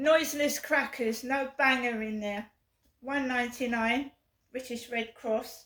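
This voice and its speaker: A high-pitched woman with an English accent. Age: 50s. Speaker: vlogger. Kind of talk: casual vlog. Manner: repetitive.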